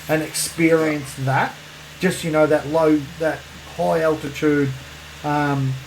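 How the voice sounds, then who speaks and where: A man with an Australian accent speaks at a fairly high pitch, very slowly, with long, frequent pauses and monotone, flat intonation. Noticeable background noise and audible room echo fill the recording. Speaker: podcast co-host. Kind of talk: casual chat. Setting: separate rooms, remote recording.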